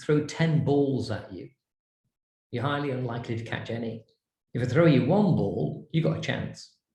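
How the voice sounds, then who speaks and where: Speaking at a moderate pace, a man with a medium pitch uses lively intonation. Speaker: branding and design consultant. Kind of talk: lecture. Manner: animated.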